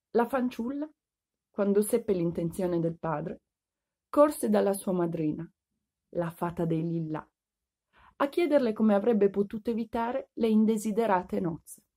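Against a quiet background, a woman speaks at a moderate pace with lively intonation and long, frequent pauses. Her tone is warm and gentle, yet also dark and mellow. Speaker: audiobook reader. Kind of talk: fairy-tale audiobook reading aloud to children. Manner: warm, gentle storyteller's pace, clear and expressive; formal literary diction with a friendly children's greeting. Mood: warm, expressive narration. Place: home room. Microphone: phone near.

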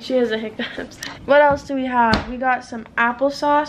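Over light background noise, a woman speaks at a high pitch and a fairly quick pace with fairly even intonation. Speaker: vlogger. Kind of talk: casual vlog chat. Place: kitchen. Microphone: phone near.

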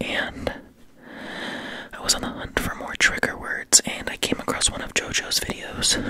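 A man is whispering at a moderate pace, with long, frequent pauses. His loudness swings widely. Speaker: ASMR creator. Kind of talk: ASMR trigger words. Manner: whispered, soft-spoken. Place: home room. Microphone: studio mic.

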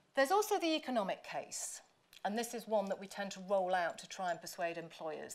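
A woman speaks at a fairly quick pace in an English accent. Her pitch varies in an ordinary way. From England. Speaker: professor; professor giving inaugural lecture. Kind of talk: lecture. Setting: stage with audience. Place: hall. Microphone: podium.

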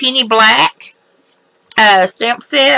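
Lively intonation from a woman's voice. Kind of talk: tutorial.

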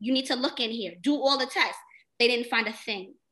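A woman's raised, projected voice, high-pitched and bright and sharp in tone, at a very fast pace against a quiet background. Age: 30s. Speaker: elementary school teacher. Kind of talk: personal testimony. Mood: earnest personal storytelling. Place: home room. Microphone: video call.

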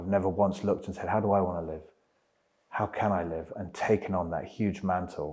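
A man with a very deep, low pitch speaks at a fairly quick pace in a monotone, flat intonation. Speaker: interview guest. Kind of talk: interview answer. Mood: reflective, earnest. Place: home room. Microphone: lapel.

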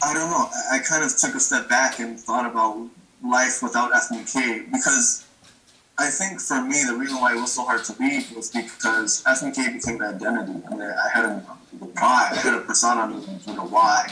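A man talks at a moderate pace with music in the background. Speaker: remote interviewee. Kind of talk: interview answer. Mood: reflective, emotional. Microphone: video call.

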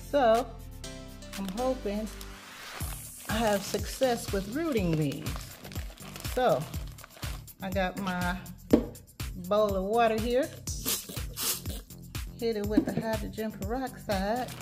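Clear music plays in the background as a woman speaks. Her pace is very slow, with long, frequent pauses. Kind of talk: casual vlog chat. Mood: excited, cheerful. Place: home room. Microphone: phone near.

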